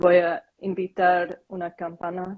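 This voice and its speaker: A woman speaks in a fairly low pitch with a Korean accent. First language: Korean (speaking Spanish). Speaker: meditation practitioner. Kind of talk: casual chat. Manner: halting.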